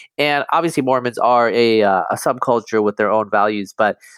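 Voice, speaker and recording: This man has an unremarkable speaking voice at a medium pitch, talking at a fairly quick pace with an American accent in a very clean recording over a silent background. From US, upstate New York and eastern Oregon. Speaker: geneticist and cultural commentator. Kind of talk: interview conversation.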